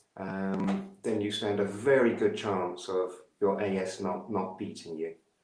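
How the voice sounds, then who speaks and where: A fairly slow pace with audible room echo. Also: man. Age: 70s. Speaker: yoga practitioner with ankylosing spondylitis. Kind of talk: interview answer.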